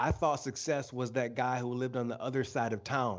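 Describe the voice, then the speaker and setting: With an American accent, a man uses a normal speaking voice at medium pitch and a moderate pace. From Michigan, US. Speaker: author and leadership speaker. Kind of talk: interview. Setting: live video stream.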